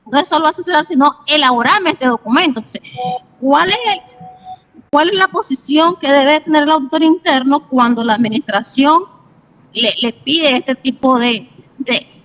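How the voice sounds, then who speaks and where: A woman with a Nicaraguan accent speaks at a moderate pace in a high pitch, her lively intonation broken by long, frequent pauses, with music in the background and a dry, close sound with no echo. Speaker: auditor, audience member. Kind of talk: question in webinar.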